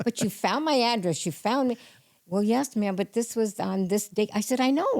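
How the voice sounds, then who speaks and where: Fairly high in pitch with a dark, mellow tone, a woman speaks at a fairly quick pace. Her intonation is lively, and the sound is dry and close with no echo. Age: 70s. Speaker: storyteller guest. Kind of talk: casual chat. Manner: animated.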